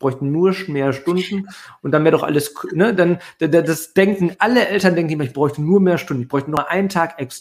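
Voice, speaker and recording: A man speaks at a fairly quick pace in a high voice, with big swings in loudness. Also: ordinary pitch variation. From Ruhr area, Germany. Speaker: email marketing entrepreneur. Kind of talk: casual interview.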